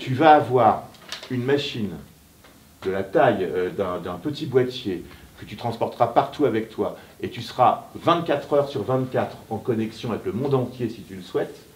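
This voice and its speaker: The voice is somewhat breathy, at a moderate pace. Pitch variation is ordinary, but loudness swings widely. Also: man, medium pitch for a man. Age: 60s. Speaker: writer. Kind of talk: author talk with students. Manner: hesitant, many fillers.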